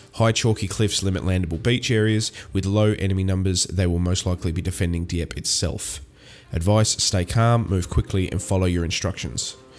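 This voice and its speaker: Very deep and low, a man's voice carries an Australian accent and ordinary pitch variation. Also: moderate pace. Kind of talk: gaming commentary, reading game text aloud.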